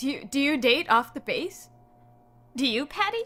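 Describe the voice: Putting on a character voice, a woman speaks high in pitch with a bright, sharp tone. Her pitch swings widely, and her pace is moderate.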